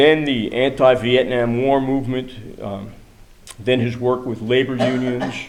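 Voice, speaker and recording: The speech comes in an American accent at a fairly slow pace, with monotone, flat intonation. Audible room echo and noticeable background noise surround it. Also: man. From New York City. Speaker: activist speaker. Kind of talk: prepared speech. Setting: church event with audience.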